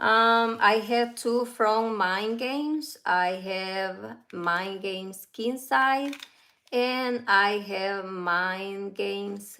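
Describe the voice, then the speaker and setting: In a Central American Spanish accent, the speaker talks at a very slow pace with ordinary pitch variation and a bright, sharp tone, and there is audible room echo. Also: woman, medium pitch for a woman. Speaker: fragrance reviewer. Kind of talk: casual livestream review. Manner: halting.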